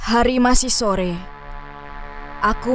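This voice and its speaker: Music plays behind a woman whose pitch sits fairly high. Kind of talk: first-person horror story narration.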